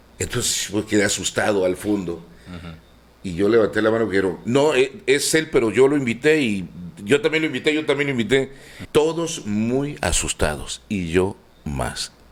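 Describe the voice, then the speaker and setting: A man speaks at a medium pitch and moderate pace. His pitch swings very widely. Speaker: radio and TV announcer. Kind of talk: interview answer.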